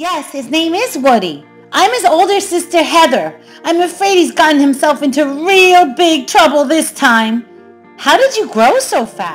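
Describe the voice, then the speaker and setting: An extremely high-pitched, female-sounding put-on character voice over faint music in the background. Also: moderate pace. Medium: read story.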